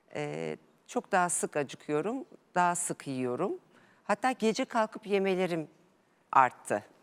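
On a very clean recording with a silent background and a dry, close sound with no echo, a woman with a fairly low pitch speaks at a fairly slow pace, her pitch swinging very widely. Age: 40s. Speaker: amateur tennis player, interview guest. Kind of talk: TV interview.

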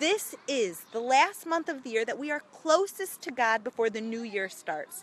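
A woman with an American accent talks in a high pitch, her voice swinging very widely with hardly any pauses. The sound is dry with no echo, over light background noise. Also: moderate pace. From United States. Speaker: charity representative. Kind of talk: livestream address to viewers. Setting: outdoors on location. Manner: animated. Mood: earnest, religious. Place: street. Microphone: phone near.

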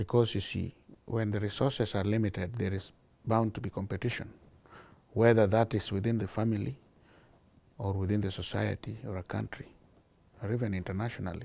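A man speaks at a fairly quick pace with long, frequent pauses and fairly even intonation. His fairly low, dark, mellow voice shows vocal fry, and the sound is dry with no echo. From Kenya. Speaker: charity founder; interviewee. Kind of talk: interview. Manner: halting, with fillers. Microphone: lapel.

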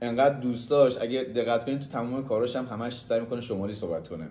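A man talks at a very fast pace, his voice carrying an audible room echo. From Mazandaran, northern Iran. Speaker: friend giving a tribute. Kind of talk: casual testimonial. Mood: warm, admiring. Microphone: phone near.

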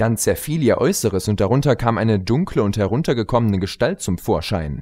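Lively intonation marks this man's fairly low voice as he talks at a fairly quick pace. The recording is very clean, with a silent background. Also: slightly mellow tone.

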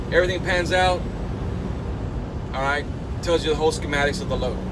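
A man's speech races along at a very fast pace while loud background noise fills the clip. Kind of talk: casual vlog chat. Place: car. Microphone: phone near.

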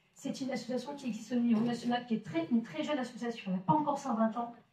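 Audible room echo surrounds a woman talking very fast at a high pitch, her tone dark and mellow with ordinary pitch variation. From northern France, Maubeuge; northern France. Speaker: solidarity association representative; association representative at a public debate. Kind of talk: public presentation. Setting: village hall with audience. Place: hall.

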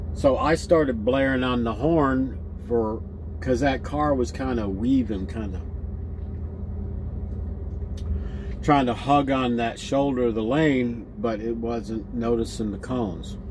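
A man speaking at a fairly slow pace, long, frequent pauses, noticeable background noise. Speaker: truck driver vlogger. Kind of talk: casual vlog chat. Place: car. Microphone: phone near.

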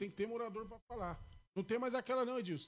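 The man talks fairly quickly, his pitch high. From Brazil, Ferraz de Vasconcelos (São Paulo area); São Paulo, Brazil. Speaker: local politician and community page runner; podcast guest. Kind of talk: casual interview. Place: studio. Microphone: studio mic.

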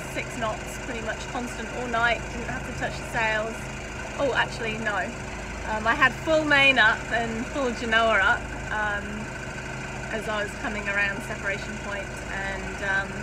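A woman talks at a fairly slow pace, leaving long, frequent pauses over loud background noise. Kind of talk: casual vlog chat. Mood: relaxed, content. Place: boat. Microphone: phone near.

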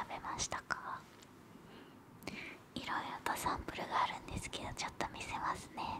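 A woman is whispering. She keeps a moderate pace. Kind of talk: soft-spoken role-play ASMR. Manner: soft close-mic ASMR speech. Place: home room. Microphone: studio mic.

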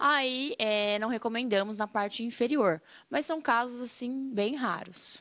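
With a bright, sharp tone and ordinary pitch variation, a woman speaks against a quiet background. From Paraná, Brazil. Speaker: dentist; guest. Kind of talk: casual interview. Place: studio. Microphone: studio mic.

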